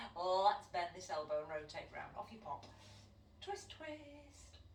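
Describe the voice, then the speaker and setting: A woman with a Manchester accent speaks fairly slowly at medium pitch in a playful tone, with audible room echo and noticeable background noise. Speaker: fitness instructor. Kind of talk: exercise class instruction. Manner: chatty, playful.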